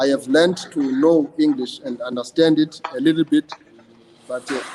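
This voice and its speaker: Fairly high-pitched man with a South African accent at a moderate pace, over noticeable background noise. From South Africa, Eastern Cape (Idutywa). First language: isiXhosa. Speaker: praise poet. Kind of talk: interview. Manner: hesitant, with repeated words and fillers.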